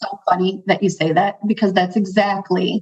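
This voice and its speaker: Somewhat breathy, this woman's voice rests at a medium pitch. Her pace is moderate. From Chicago, US, Central American parents. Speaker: financial advisor. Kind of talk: interview conversation.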